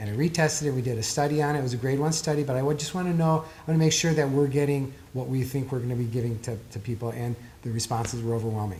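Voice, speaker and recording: A man with a fairly high pitch speaks very fast, his pitch varying in an ordinary way. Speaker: author and performance therapist. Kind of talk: interview. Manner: expressive.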